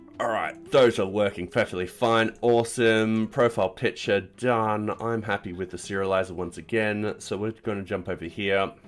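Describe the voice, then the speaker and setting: Man with an Australian accent, fairly low pitch, ordinary pitch variation and a moderate pace. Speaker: programming streamer. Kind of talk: live coding stream. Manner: casual, rambling with fillers.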